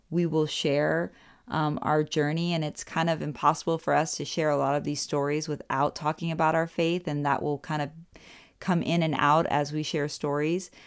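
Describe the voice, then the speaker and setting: At a moderate pace, a woman speaks in a monotone with a very deep, low pitch and flat intonation. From Orlando, Florida, US South. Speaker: podcast co-host and musician. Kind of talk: casual chat.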